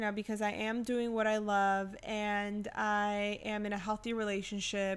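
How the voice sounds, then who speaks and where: A woman speaks at a fairly high pitch. Her pace is moderate. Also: very clean recording, silent background. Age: 20s. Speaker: podcast co-host and artist. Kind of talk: casual chat.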